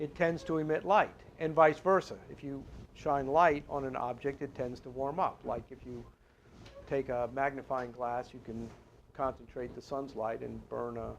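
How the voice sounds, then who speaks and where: A man of medium pitch speaks at a moderate pace with ordinary pitch variation and big swings in loudness. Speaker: lecturer. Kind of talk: lecture. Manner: halting.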